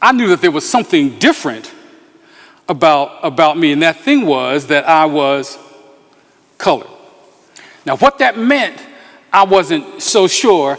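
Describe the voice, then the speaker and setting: A man with an American accent speaks at a high pitch with very wide pitch swings. His pace is fairly slow, with long, frequent pauses. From Philadelphia, US Northeast. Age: 60s. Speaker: pastor. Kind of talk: talk to a community meeting. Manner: halting, many fillers.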